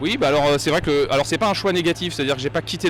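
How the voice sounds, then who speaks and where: A man is speaking. His pace is very fast. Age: 40s. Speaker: professional sailor, former journalist. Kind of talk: interview. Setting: race start village.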